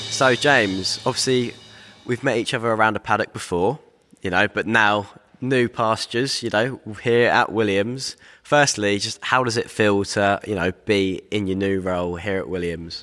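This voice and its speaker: An ordinary speaking voice with ordinary pitch variation, moving at a moderate pace. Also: man, fairly low pitch for a man. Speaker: podcast co-host. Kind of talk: interview.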